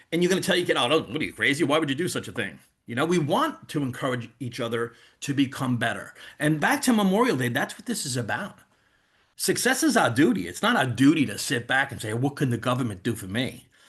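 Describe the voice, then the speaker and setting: Over a quiet background, a man with a New York accent and a fairly high pitch talks at a very fast pace with very wide pitch swings. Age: 50s. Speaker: network marketing leader. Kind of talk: sales pitch on video call. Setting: video call. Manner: animated.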